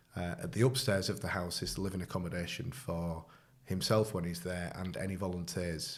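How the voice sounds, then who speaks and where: In a northern English accent, a man talks at a fairly quick pace with a very deep, low pitch and ordinary pitch variation. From northern England. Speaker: charity volunteer. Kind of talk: casual interview. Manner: hesitant, many fillers.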